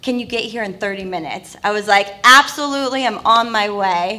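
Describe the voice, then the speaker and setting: Her voice fairly high and bright and sharp in tone, a woman speaks at a moderate pace with fairly even intonation. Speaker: TV integration executive. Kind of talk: panel introduction.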